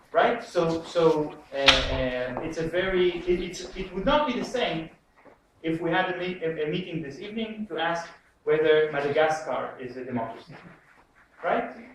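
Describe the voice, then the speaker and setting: A man with a high voice swings widely in loudness, his pitch varying in an ordinary way amid audible room echo. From Israel. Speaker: political economist. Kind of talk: lecture. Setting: lecture room with audience. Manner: halting, many fillers; deliberately slow and clear.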